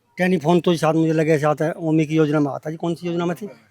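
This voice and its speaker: A man speaks at a moderate pace with a fairly high pitch and monotone, flat intonation. The sound is dry and close, with no echo. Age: 60s. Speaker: villager. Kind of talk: interview.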